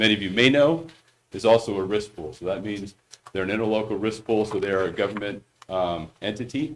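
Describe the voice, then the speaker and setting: The man talks at a fairly quick pace in a fairly low pitch with ordinary pitch variation. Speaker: insurance broker. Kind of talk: presentation at board meeting. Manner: loud; hesitant, many fillers.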